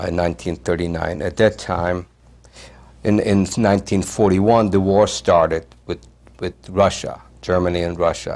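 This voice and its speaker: His voice sits very deep and low. The delivery comes at a moderate pace. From eastern Poland. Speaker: Holocaust survivor. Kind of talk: oral history interview.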